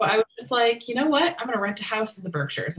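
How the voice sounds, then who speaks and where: Lively in intonation, a woman speaks in a somewhat breathy voice. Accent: American. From US Northeast (western Massachusetts), partly California. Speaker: wedding and event planner. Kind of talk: casual interview.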